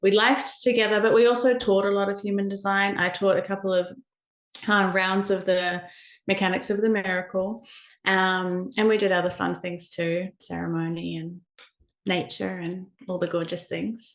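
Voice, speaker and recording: This woman has a New Zealand accent and a medium pitch. She talks at a moderate pace with fairly even intonation. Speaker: human design educator, shamanic practitioner. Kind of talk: podcast interview answer.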